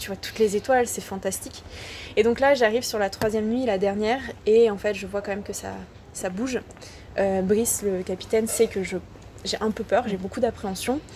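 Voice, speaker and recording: A woman's dark, mellow voice, fairly high in pitch, with fairly even intonation at a moderate pace. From France, Ardèche. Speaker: underwater photographer. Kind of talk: interview. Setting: outdoors.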